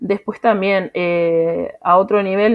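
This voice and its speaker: With a Uruguayan accent, a woman talks at a medium pitch and with fairly even intonation. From Uruguay, Tacuarembó. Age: 20s. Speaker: accountant and mother. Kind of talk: personal testimony. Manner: hesitant, many fillers.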